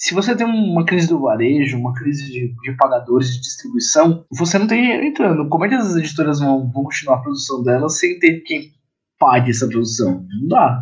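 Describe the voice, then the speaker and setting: A man's fairly high, somewhat breathy voice with very wide pitch swings. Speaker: publisher. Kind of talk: interview. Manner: fast.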